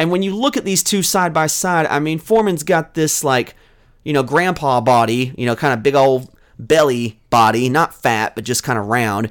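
A man with an American accent and a normal speaking voice talks at a moderate pace and fairly high pitch, with lively intonation, on a very clean recording with a silent background. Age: 30s. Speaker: sports podcast host. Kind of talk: casual solo podcast.

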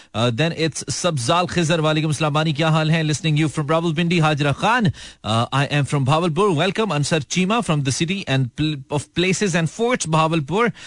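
A man with a fairly high pitch and ordinary pitch variation speaks in an unremarkable speaking voice, his loudness very even over a quiet background. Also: hardly any pauses. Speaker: radio host. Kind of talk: live call-in radio show. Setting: radio studio. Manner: casual, joking.

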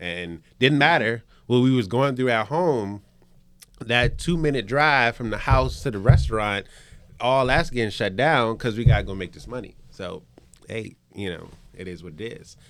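Speaking in a plain, everyday voice with an American accent, a man talks at a moderate pace and medium pitch, his intonation lively and his loudness swinging widely. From Richmond, Virginia. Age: 30s. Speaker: chef and restaurant owner. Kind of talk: casual chat.

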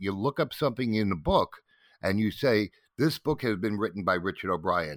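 A man in a normal speaking voice, fairly low in pitch, at a moderate pace with lively intonation and a dry, close sound with no echo. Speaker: interviewee and longtime Rocky Horror community member. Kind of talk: casual interview chat.

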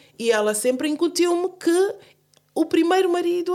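Using lively intonation, a woman speaks at an extremely high pitch. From Guinea-Bissau. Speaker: singer and journalist. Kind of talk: interview. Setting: studio. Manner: halting.

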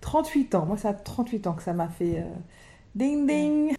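Her voice is somewhat breathy with a dark, mellow tone. The woman speaks at a fairly high pitch with lively intonation. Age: 40s. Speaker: single mother by choice, wealth management adviser. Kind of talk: personal testimony interview.

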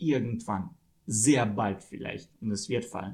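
Using a Russian accent, a man speaks at a fairly slow pace in a somewhat breathy voice with ordinary pitch variation. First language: Russian (speaking German). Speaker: film podcast guest. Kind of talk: casual chat.

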